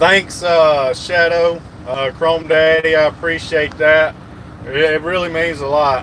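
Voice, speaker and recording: A man speaks at a fairly slow pace with a fairly high pitch. Noticeable background noise runs underneath. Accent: Southern US. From US South, rural Georgia. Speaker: truck driver livestreamer. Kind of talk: live stream chat. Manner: animated.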